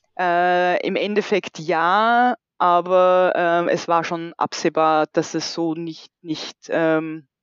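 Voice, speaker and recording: With an Austrian accent, a woman speaks very slowly in a fairly low voice with fairly even intonation. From rural Austria, about 1.5 hours from Vienna. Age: 40s. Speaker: bereaved mother. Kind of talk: personal testimony interview. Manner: hesitant, many fillers.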